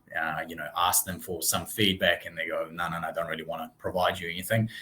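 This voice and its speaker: Noticeable background noise runs behind a man who talks very fast. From Russia. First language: Russian. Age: 30s. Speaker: real estate branch manager. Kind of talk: interview.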